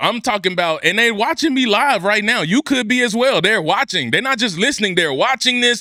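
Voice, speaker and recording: A man's raised, projected voice, high in pitch and bright, sharp in tone, at a fairly quick pace with hardly any pauses and very even loudness. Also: lively intonation. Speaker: podcast host. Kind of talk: motivational podcast talk. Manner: high-energy, loud; enthusiastic, passionate.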